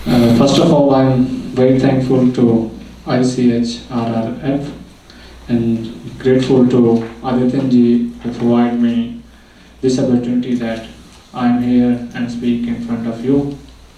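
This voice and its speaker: A man speaks fairly slowly at a medium pitch with monotone, flat intonation, amid audible room echo and noticeable background noise. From Pakistan. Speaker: human rights activist. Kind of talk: conference speech. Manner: halting, non-fluent English.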